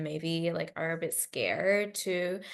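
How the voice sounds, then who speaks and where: An unremarkable speaking voice with an American accent. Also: woman. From China and Australia. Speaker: novelist. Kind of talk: interview. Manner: casual with many fillers.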